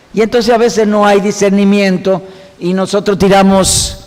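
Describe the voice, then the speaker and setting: A man's voice comes with audible room echo, while noticeable noise sits in the background. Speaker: Bible teacher. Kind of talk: lecture. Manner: fast.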